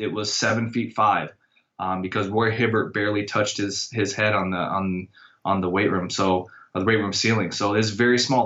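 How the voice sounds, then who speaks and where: A plain, everyday voice from a man with an American accent, fairly even intonation and a moderate pace. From Iowa. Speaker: college strength and conditioning coach. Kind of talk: casual interview.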